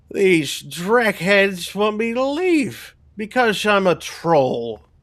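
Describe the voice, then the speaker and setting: Someone uses a put-on character voice at a middle pitch. The delivery is very slow. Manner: indignant, complaining.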